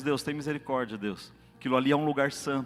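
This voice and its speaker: The man's voice sits rather high for a male. He speaks very rapidly. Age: 40s. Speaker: lay preacher, actor and classical singer. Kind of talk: sermon. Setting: church. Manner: animated.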